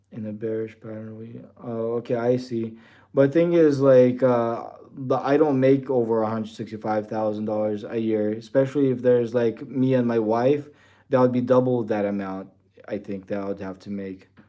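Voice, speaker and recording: A man of medium pitch uses an ordinary speaking voice with fairly even intonation and big swings in loudness. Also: moderate pace. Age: 40s. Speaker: trading livestreamer. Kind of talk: live stream chat reading comments. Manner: casual, filler-heavy.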